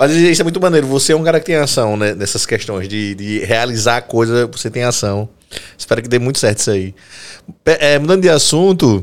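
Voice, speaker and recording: This man has an ordinary speaking voice with a medium pitch. He talks at a fairly quick pace with lively intonation. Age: 30s. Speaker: podcast host and physical education teacher. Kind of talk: casual chat.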